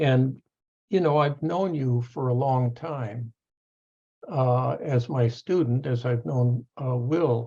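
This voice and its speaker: Very slow and somewhat breathy, the voice has a dark, mellow tone. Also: man, medium pitch for a man, ordinary pitch variation. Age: 70s. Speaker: professor. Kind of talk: panel discussion. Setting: video call. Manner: halting.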